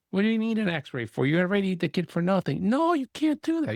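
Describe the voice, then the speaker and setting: A man's high-pitched voice at a fairly quick pace, with very wide pitch swings, in a very clean recording with a silent background and a dry, close sound with no echo. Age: 50s. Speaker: podcast host, pediatrician. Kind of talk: casual interview chat.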